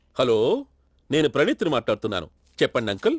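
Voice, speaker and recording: A man puts on a gruff character voice at medium pitch. He talks at a fairly quick pace. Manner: unconvincing fake.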